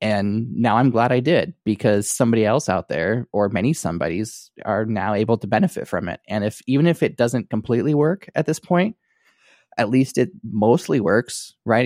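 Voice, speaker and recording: A very clean recording with a silent background, a dry, close sound with no echo, and a moderate pace. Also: man. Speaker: podcast host. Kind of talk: casual chat. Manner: quiet.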